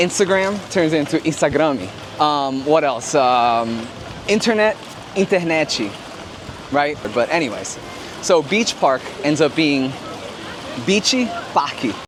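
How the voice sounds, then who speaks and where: A man with a Rio accent, fairly high-pitched, lively in intonation, at a fairly slow pace with long, frequent pauses, very even loudness, and noticeable background noise. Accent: Brazilian (Rio) accent in English. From Rio de Janeiro, Brazil. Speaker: family vlogger. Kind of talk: casual vlog chat. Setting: outdoors at water park. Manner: casual, animated.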